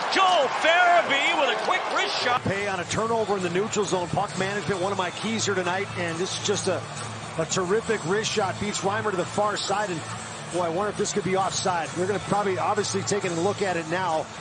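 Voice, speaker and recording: Noticeable background noise runs under a man's high voice. He talks at a fairly quick pace in an animated, excited tone. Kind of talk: live sports commentary with analysis. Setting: broadcast booth, game highlights. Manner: animated, fast, excited on goals; analytical, explains plays as they happen.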